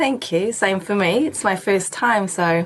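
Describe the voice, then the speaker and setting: At a moderate pace, a woman speaks at medium pitch with ordinary pitch variation amid noticeable background noise. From Germany. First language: German. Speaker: paediatric nurse and feeding counsellor. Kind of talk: interview. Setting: radio studio.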